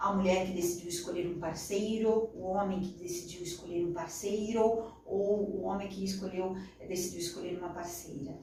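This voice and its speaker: A woman speaks at a moderate pace in a medium pitch with monotone, flat intonation. Noticeable background noise and audible room echo are present. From Brazil, interior of São Paulo state. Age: 40s. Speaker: journalist and radio broadcaster. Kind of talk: interview.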